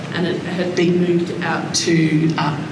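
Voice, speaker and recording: Noticeable background noise and audible room echo surround this recording. A woman speaks with a fairly low pitch and an Australian accent. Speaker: daughter introducing speaker. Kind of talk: talk introduction. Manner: hesitant, many fillers; quiet.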